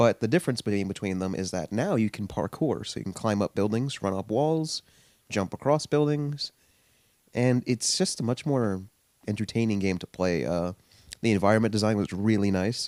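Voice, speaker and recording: On a very clean recording with a silent background and a dry, close sound with no echo, a man with a plain, everyday voice and fairly low pitch talks at a moderate pace with ordinary pitch variation. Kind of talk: casual talk to camera. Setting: in bed, casual talk.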